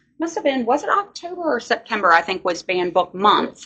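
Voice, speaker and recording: Talking at a fairly quick pace, a woman speaks with a Virginia accent. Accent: Virginia Southern US. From Virginia, Louisa County. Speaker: library staff. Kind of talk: interview. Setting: library.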